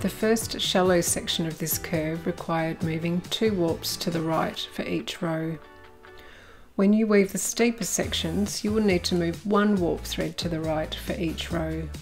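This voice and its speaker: A woman with an Australian accent and a fairly low pitch, calm in tone, at a fairly slow pace with ordinary pitch variation, music in the background. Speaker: weaving teacher, designer and artist. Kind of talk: craft tutorial narration. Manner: calm, instructional.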